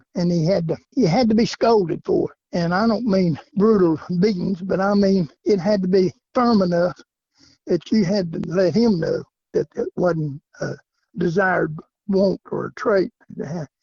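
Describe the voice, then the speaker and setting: A man with a Southern US accent has a high pitch and ordinary pitch variation. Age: 70s. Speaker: coon hunter. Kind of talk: interview.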